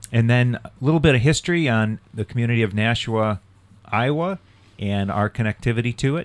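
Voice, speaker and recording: A man with an unremarkable speaking voice talks fairly quickly at a medium pitch. His pitch variation is ordinary, and the sound is dry and close with no echo. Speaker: clergy cyclist on sabbatical. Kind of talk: radio interview, casual chat.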